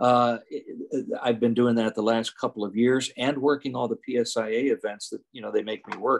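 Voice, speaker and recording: The voice runs at a fairly quick pace with monotone, flat intonation in a dry, close sound with no echo. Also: man, medium pitch for a man. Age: 60s. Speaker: ski instructor and former ski racer. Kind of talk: casual interview chat. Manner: halting, many fillers and restarts.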